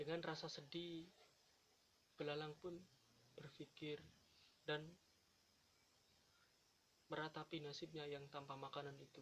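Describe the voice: A man talks fairly slowly in a fairly high voice with a fairly bright tone. His pitch moves little, and he leaves long, frequent pauses.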